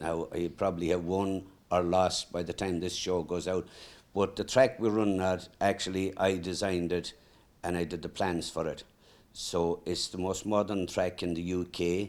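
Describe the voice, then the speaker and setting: A man speaks at a moderate pace in a very deep, low voice with flat, monotone intonation, recorded very cleanly against a silent background. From Ireland, County Mayo. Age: 70s. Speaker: greyhound trainer. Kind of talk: casual interview. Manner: hesitant, with fillers.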